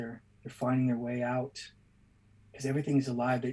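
Somewhat breathy and medium in pitch, a man speaks with a Boston accent. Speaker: artist. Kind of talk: live drawing tutorial. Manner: halting.

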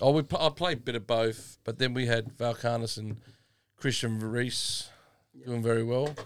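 A medium-pitched man's voice in an Australian accent, at a moderate pace with fairly even intonation, in a very clean recording with a silent background. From South Australia, Adelaide northern suburbs. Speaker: retired footballer. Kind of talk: casual chat. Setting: studio.

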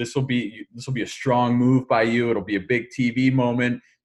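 A somewhat breathy man with an American accent at a moderate pace. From Philadelphia. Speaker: podcast host. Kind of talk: casual chat.

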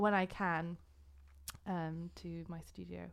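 With a northern English accent, a woman speaks in a fairly low voice, captured in a very clean recording with a silent background. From England, North Yorkshire. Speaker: artist and art student. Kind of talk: podcast interview. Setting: recording studio.

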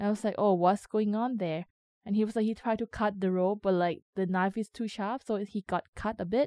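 A woman with a Thai accent speaks at a fairly quick pace in a dark, mellow tone of medium pitch, with fairly even intonation, in a dry, close sound with no echo. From Thailand. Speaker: community radio coordinator. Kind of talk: interview testimony.

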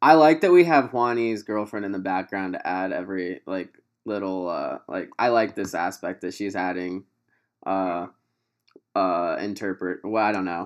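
Moving at a moderate pace, a man speaks in an unremarkable speaking voice with ordinary pitch variation. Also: fairly low pitch for a man. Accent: American. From US Midwest, Quincy, Illinois area. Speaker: podcast host. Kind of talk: casual chat. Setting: video call.

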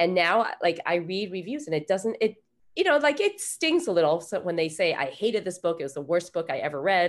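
This woman has a normal speaking voice, medium in pitch, with lively intonation. The recording is very clean, with a silent background. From Taiwan-born, grew up in the US. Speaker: author. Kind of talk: interview.

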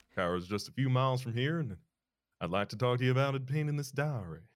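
Lively in intonation, a man speaks at medium pitch in a plain, everyday voice. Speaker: podcast co-host. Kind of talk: casual banter with joking character voices. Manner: playful, jokey.

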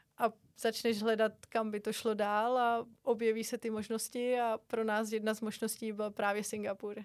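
On a very clean recording with a silent background, a woman with a fairly high pitch speaks at a moderate pace. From Czech Republic. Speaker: gymnastics coach abroad. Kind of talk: interview.

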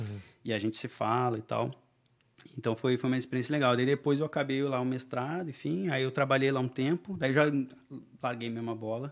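Speaking at a fairly quick pace with long, frequent pauses, a man uses a medium pitch and ordinary pitch variation. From southern Brazil, Porto Alegre. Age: 30s. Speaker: expatriate NGO worker. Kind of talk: casual chat.

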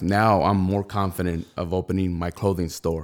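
A man speaks in a normal speaking voice with an American accent and fairly even intonation. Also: very clean recording, silent background. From Rialto, Southern California. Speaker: clothing brand founder. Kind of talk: casual interview.

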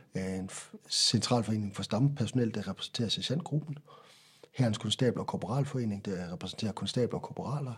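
Medium pitch from a man, ordinary pitch variation, and a fairly quick pace. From central Jutland, Denmark. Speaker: military nurse. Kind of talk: interview. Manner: halting, repeats words.

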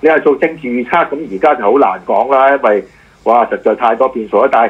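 The speaker is a man. His pitch is fairly high. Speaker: radio host and political commentator. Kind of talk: casual chat. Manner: halting.

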